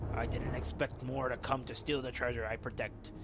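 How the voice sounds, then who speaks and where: A raspy, put-on character voice carries the clip. Loud background noise runs underneath. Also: man. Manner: menacing, disdainful.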